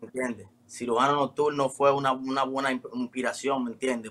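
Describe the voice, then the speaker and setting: A bright, sharp tone carries this voice, spoken with a Dominican accent. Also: man. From Dominican Republic. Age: 20s. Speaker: urban music artist. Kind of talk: casual interview.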